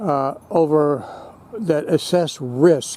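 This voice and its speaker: The speaker is a man. His pitch sits fairly high. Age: 70s. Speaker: homeowner video blogger. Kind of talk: casual explanatory monologue. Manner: rambling with hesitations.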